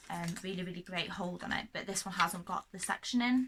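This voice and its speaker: The speaker has a North Welsh accent and ordinary pitch variation. Noticeable background noise runs underneath. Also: woman. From North Wales. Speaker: hairdresser. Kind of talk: casual talk to camera. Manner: fast.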